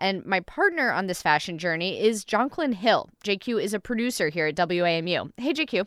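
A woman with an unremarkable speaking voice and a medium pitch talks at a moderate pace with lively intonation and hardly any pauses, in a very clean recording with a silent background. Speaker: radio host and reporter. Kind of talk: casual interview and reported feature.

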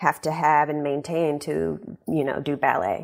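Pitch varies in an ordinary way as the talk moves at a moderate pace in an American accent. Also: woman. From US South, Shreveport, Louisiana. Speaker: ballerina. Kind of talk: radio interview.

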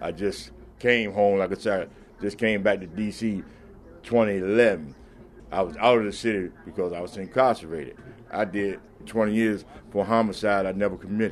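Fairly low in pitch, a man with an American accent speaks at a moderate pace with fairly even intonation. His pauses are long and frequent. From Washington, D.C. (Foggy Bottom). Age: 60s. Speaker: used car salesman. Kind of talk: interview. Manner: halting, repetitive.

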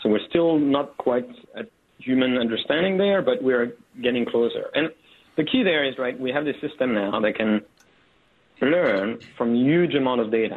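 Speaking with a non-native accent, a man talks at a fairly quick pace. His pitch is medium and varies in an ordinary way. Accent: foreign-accented English. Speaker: tech company executive. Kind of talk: radio interview. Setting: phone call. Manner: frequent tag questions and fillers.

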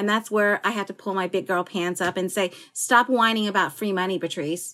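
A woman speaks at a fairly quick pace and medium pitch, her intonation fairly even, with music playing in the background. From Philippines-born, raised in US. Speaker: chef and restaurant owner. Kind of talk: interview.

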